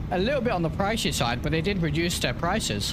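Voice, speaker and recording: With a slight British accent, a man talks at a very fast pace in a fairly high pitch, with audible room echo and noticeable background noise. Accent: British, mild. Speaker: flight simulation streamer. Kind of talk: casual live-stream commentary. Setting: live stream. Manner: conversational, with frequent fillers.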